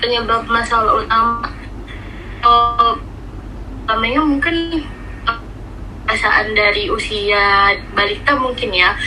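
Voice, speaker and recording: With music in the background and audible room echo, a woman speaks at a fairly slow pace and fairly high pitch, her intonation lively, her loudness very even, and her pauses long and frequent. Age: 20s. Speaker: university student and extracurricular teacher. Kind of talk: interview. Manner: casual, with fillers.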